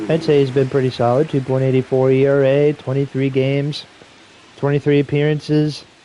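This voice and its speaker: A man with an American accent at a moderate pace, amid noticeable background noise. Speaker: video game streamer doing play-by-play. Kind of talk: live commentary. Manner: casual, conversational.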